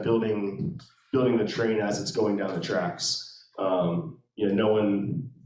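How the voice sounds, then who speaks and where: Music plays behind a man with an American accent, who speaks at a fairly slow pace in a medium pitch. His pitch variation is ordinary, and room echo is audible. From Maryland, Anne Arundel County. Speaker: real estate investor. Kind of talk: interview at a meetup. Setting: meetup with live audience. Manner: halting, many fillers.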